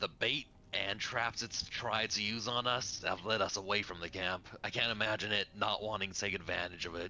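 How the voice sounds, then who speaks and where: A man puts on a character voice at a fairly low pitch and a moderate pace, with clear background noise behind him. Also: hardly any pauses. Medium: actual play. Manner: terse, serious.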